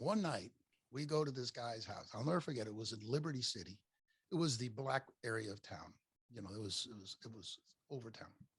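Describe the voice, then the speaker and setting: A somewhat breathy man talks at a fairly quick pace, medium in pitch with ordinary variation. His loudness swings widely, and he takes long, frequent pauses. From Miami, Florida, US. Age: 70s. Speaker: podcaster, former business owner. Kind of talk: casual interview chat. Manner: animated storytelling.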